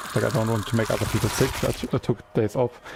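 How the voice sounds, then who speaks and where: This is a man speaking. His pitch is fairly low. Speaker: gaming streamer. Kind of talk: casual live-stream chat. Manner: hesitant, many fillers and repetitions.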